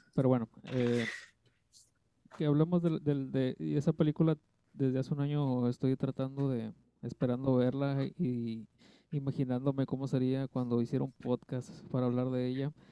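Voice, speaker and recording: Recorded with a dry, close sound and no echo, a man speaks at a medium pitch and a moderate pace, leaving long, frequent pauses. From Mexico, Tlaxcala. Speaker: podcast guest, film fan. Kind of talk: casual chat.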